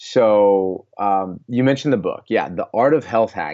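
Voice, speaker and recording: The speaker is a man with an American accent. His pitch moves in an ordinary way. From US Midwest, Iowa (Des Moines). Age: 20s. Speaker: health coach and author. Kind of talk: casual interview chat.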